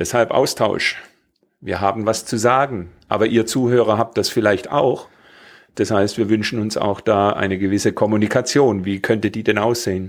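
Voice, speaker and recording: A plain, everyday voice from a man, fairly low in pitch, at a moderate pace with fairly even intonation on a very clean recording with a silent background. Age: 50s. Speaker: podcast host, square dance caller. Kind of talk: casual chat.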